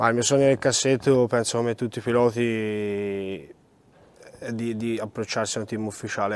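A man talks at a moderate pace with a fairly low pitch and monotone, flat intonation. The sound is dry with no echo. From Italy, Florence; Italy. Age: 20s. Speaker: rally driver. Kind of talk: interview. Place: hall.

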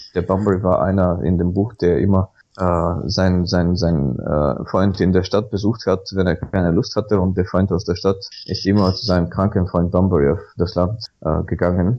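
In a Bulgarian accent, a man with a very deep, low pitch speaks at a moderate pace, with fairly even intonation and very even loudness. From Bulgaria (Sofia). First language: Bulgarian (speaking German). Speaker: Wikipedia volunteer. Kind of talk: podcast interview.

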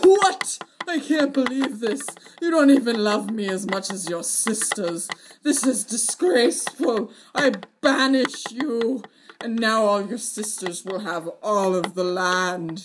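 A man talks at a fairly slow pace with a high pitch. His intonation is lively. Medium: comedy sketch. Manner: whiny, indignant.

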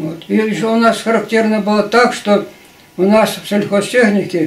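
At a fairly slow pace, a man with a high pitch talks amid audible room echo. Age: 80s+. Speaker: retired agricultural machinery engineer. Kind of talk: interview answer. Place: home room. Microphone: camera far.

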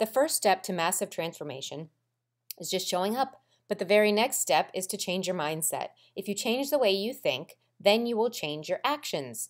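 The voice carries an upbeat tone and very wide pitch swings. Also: woman, medium pitch for a woman, moderate pace. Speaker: promotional narrator for a fitness program. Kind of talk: infomercial-style scripted promo narration. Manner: upbeat, hard-selling motivational delivery; punchy, rhythmic list-driven pitch.

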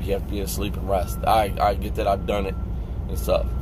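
Noticeable background noise comes through, while the sound itself is dry with no echo. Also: man. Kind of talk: casual vlog rant. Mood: annoyed, frustrated. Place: car. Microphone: phone near.

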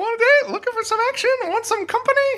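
In a put-on character voice, someone talks fairly quickly at an extremely high pitch. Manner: seductive.

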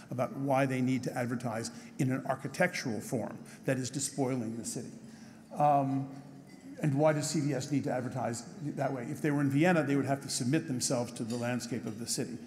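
A somewhat breathy man speaks at a fairly quick pace with fairly even intonation over light background noise. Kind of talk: speech with slides. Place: hall. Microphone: podium.

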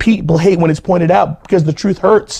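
With a dark, mellow tone, a man speaks at a fairly high pitch and a moderate pace.

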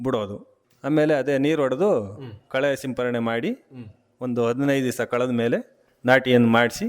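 A normal speaking voice from a man, medium in pitch, with ordinary pitch variation. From Karnataka, Arkalgud taluk, Hassan district. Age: 40s. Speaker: farmer. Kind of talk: radio interview.

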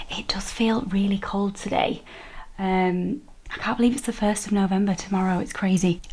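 This woman speaks with a northern English accent at a moderate pace. Her intonation stays fairly even. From northern England. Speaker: fashion vlogger. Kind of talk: casual vlog. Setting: at home, on video. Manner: chatty, friendly. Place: home room. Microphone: phone near.

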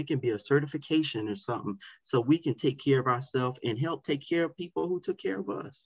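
A somewhat breathy man with an American accent, fairly quick pace and ordinary pitch variation against a quiet background. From South Florida. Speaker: educator and community advocate; guest. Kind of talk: interview. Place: home room. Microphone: webcam.

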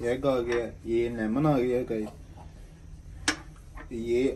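Speaking at a slow pace, a man uses fairly even intonation and a dark, mellow tone.

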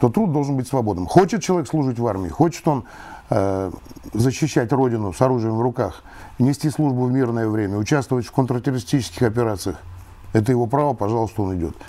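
A man speaks at a very fast pace with lively intonation. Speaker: retired colonel. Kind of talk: interview. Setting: studio. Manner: formal. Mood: calm, earnest argument. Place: studio. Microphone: lapel.

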